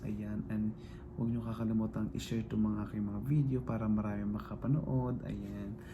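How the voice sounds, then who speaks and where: A quiet man speaks with audible room echo around him. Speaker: vlogger. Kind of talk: casual vlog talk. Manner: quiet, lowered voice; halting, filler-heavy.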